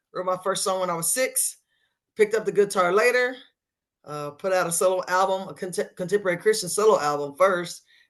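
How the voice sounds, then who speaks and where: With a Texan accent, a woman speaks at medium pitch with ordinary pitch variation. Her pace is fairly quick against a quiet background. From West Texas, Sweetwater. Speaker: singer-songwriter and band leader. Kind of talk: interview.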